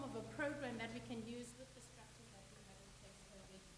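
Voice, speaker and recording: There is noticeable background noise and audible room echo. Over it, a woman talks at a fairly quick pace. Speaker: medical officer. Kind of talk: conference presentation. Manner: loud.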